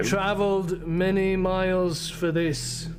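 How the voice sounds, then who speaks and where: Through loud background noise, a man does a put-on character voice, high-pitched and at a fairly slow pace. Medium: actual play. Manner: grim, menacing.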